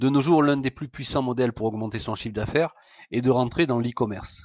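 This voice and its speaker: Talking at a fairly quick pace, a man keeps ordinary pitch variation. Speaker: entrepreneur. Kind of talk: sales pitch. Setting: live webinar. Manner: hesitant, many fillers.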